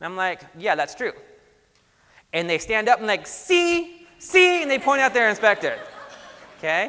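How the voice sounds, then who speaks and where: Extremely high in pitch, a man's raised, projected voice carries an animated, bright, sharp tone, with very wide pitch swings and long, frequent pauses. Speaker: environmental inspection supervisor, trainer. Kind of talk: lecture. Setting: conference classroom with audience. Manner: fast; casual, animated.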